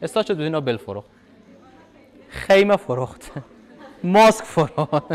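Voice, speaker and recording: A man's voice moves through big swings in loudness. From Afghanistan. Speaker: university lecturer. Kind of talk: lecture. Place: hall.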